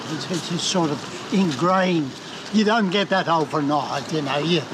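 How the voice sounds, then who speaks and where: A high-pitched man with an Australian accent at a moderate pace, with ordinary pitch variation, noticeable background noise and audible room echo. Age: 80s+. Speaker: retired amateur cyclist. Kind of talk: casual chat.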